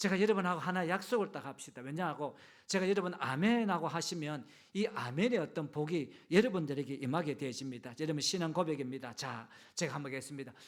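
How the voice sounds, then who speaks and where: Over a silent background in a very clean recording, a man with a fairly high pitch talks at a very fast pace with lively intonation. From Gyeongju, Gyeongsang region, South Korea. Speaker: pastor. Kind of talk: sermon. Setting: church service with congregation.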